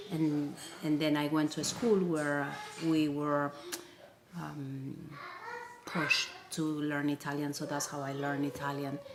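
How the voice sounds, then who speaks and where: Speaking with a Spanish accent, a woman uses a very deep, low pitch and monotone, flat intonation. Her fairly slow delivery has long, frequent pauses, and the room echo is audible. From Peru. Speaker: multilingual mother. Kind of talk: interview. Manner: halting.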